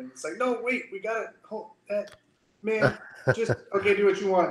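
Audible room echo fills the space. A man talks at a fairly quick clip. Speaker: guest. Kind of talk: interview answer. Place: office. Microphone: video call.

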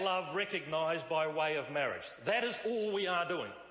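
A man with a high pitch speaks at a fairly slow pace. Audible room echo surrounds his voice. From New Zealand. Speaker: member of parliament. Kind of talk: parliamentary speech. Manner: witty, humorous, uplifting. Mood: humorous, wry, upbeat. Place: hall. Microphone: podium.

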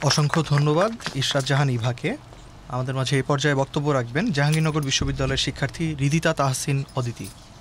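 A man with a fairly high pitch and ordinary pitch variation speaks at very even loudness over noticeable background noise. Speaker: debate judge and moderator. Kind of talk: formal moderation. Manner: formal.

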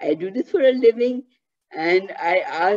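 A woman with a strong Indian accent, a medium pitch, a dark, mellow tone and lively intonation. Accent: Indian, heavy.

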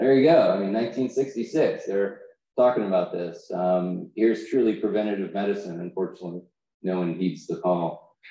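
Fairly low-pitched man with a dark, mellow tone, ordinary pitch variation and an American accent. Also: moderate pace. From Texas. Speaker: thoracic surgeon. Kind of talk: conference talk. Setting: stage with audience.

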